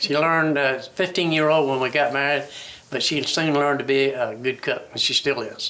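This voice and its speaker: With an American accent, a man speaks at a fairly high pitch and a moderate pace, his intonation fairly even, over noticeable background noise. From Chincoteague Island, Virginia Eastern Shore. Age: 70s. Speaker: retired waterman. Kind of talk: oral history interview. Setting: museum. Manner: halting, with frequent repetitions.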